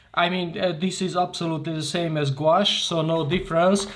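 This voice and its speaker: A man's high-pitched voice with a Hungarian accent at a moderate pace, with audible room echo. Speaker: art tutor. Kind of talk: tutorial. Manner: halting.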